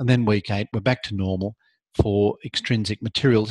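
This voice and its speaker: The man's voice is fairly low and somewhat breathy, with fairly even intonation. The sound is dry, with no echo. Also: quiet background. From Australia. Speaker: law lecturer. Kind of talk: live online lecture. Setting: video call. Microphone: video call.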